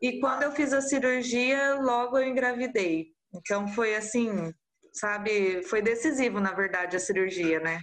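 A woman speaks in a normal speaking voice, fairly high in pitch, at a fairly slow pace. Her intonation is lively and her loudness very even. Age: 30s. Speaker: mother of twins, artisan soap maker. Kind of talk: casual interview.

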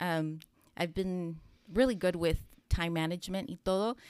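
On a very clean recording with a silent background, a woman with an ordinary speaking voice talks at a fairly quick pace and medium pitch with ordinary pitch variation. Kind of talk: casual chat.

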